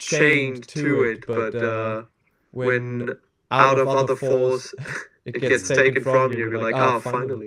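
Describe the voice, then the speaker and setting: Bright and sharp in tone, a man speaks at a fairly slow pace with a medium pitch and monotone, flat intonation. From Germany. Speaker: skater and DIY builder. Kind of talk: casual chat.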